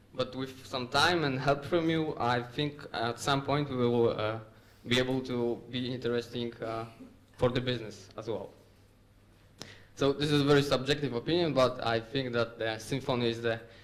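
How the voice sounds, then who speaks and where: A man with a Polish accent at a medium pitch and moderate pace, with fairly even intonation and audible room echo. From Poland, Łódź. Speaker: software developer. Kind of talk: conference talk. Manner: hesitant with fillers.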